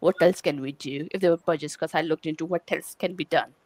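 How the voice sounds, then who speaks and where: A woman with an Indian accent speaks at a fairly low pitch. The recording is very clean, with a silent background and a dry, close sound with no echo. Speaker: quality engineering leader. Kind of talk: conference talk. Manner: halting, many fillers.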